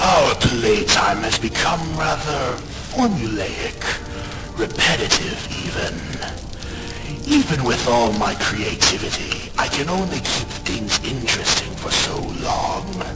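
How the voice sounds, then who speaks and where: A man's raspy, put-on character voice at medium pitch and fairly slow pace, over loud background noise. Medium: read story. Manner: smug, theatrical, toying.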